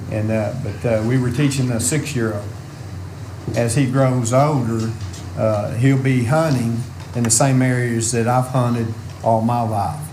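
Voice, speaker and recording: Over noticeable background noise and audible room echo, a man with an Arkansas accent speaks fairly slowly at a medium pitch, with fairly even intonation and long, frequent pauses. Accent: US Southern (Arkansas). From Arkansas (Lynn). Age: 60s. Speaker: farmer. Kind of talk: public comment at meeting. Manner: halting, many fillers.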